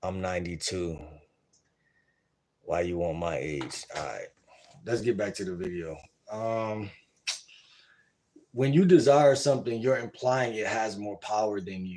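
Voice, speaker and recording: A man's fairly low, dark, mellow voice at a fairly slow pace, with lively intonation, big swings in loudness and long, frequent pauses. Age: 20s. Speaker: dating advice streamer. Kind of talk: live stream reaction commentary. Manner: casual, conversational.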